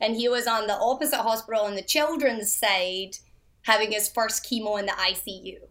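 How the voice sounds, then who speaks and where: Here a woman speaks in a Scottish accent. Her pitch is fairly high, with ordinary variation. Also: moderate pace. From Scotland. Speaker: mother and recovery advocate. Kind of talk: casual interview chat.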